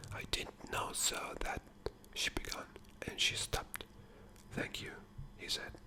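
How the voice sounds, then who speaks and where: There is noticeable background noise. A man whispers at a fairly slow pace. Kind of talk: asmr book reading. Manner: whispered, soft.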